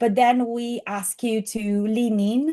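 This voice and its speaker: A woman's dark, mellow, fairly high voice with a strong Italian accent over a quiet background. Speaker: AI skills course instructor. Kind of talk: presentation.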